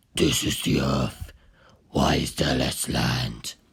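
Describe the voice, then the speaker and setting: A man's put-on character voice, growling and very deep, at a very slow pace. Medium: read story. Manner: cold, imperious.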